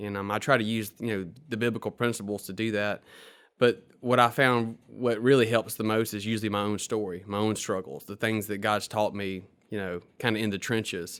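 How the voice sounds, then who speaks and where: Speaking fairly quickly in a Mississippi accent, a man with a fairly low pitch keeps his intonation fairly even in a very clean recording with a silent background. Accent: Southern US (Mississippi). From US South, Mississippi Delta. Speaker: attorney. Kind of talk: podcast interview.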